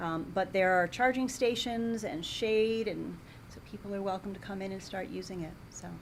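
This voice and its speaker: Audible room echo surrounds a woman who speaks at a moderate pace, her loudness swinging widely. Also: medium pitch for a woman, ordinary pitch variation. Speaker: library director. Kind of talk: public meeting report.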